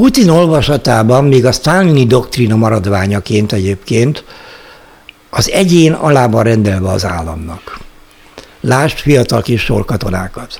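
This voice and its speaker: A man talks at a fairly slow pace, his intonation lively, while noticeable noise runs in the background. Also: medium pitch for a man. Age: 60s. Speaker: investment blogger. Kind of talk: solo monologue. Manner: formal.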